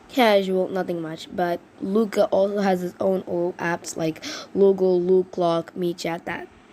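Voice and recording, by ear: A woman with a fairly low pitch and a slightly mellow tone speaks at a fairly slow pace.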